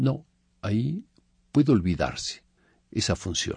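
Somewhat breathy and fairly low, a man's voice swings very widely in pitch. He speaks fairly slowly against a quiet background. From Mexico. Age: 70s. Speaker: composer. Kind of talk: interview monologue.

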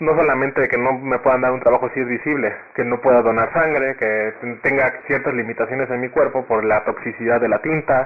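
A man talks at a fairly quick pace and medium pitch, with fairly even intonation, against noticeable background noise. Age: 20s. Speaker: law graduate. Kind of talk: debate-style interview.

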